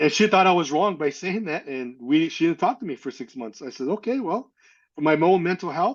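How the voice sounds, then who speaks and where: This man speaks with a high pitch and lively intonation. He has an American accent. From Northern California. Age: 60s. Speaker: adoptee sharing life story. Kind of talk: testimony. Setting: podcast interview. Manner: halting.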